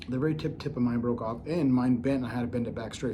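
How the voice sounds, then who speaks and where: A man's medium-pitched, somewhat breathy voice with a dark, mellow tone, ordinary pitch variation, a fairly quick pace and audible room echo. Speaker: knife reviewer. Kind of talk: product review. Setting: at home.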